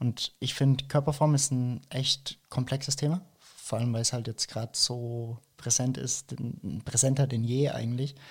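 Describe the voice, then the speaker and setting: A man speaks at a moderate pace in a medium-pitched, somewhat breathy voice with monotone, flat intonation, on a very clean recording with a silent background. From Franconia, Germany (Nuremberg). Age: 20s. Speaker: fitness coach. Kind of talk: casual interview.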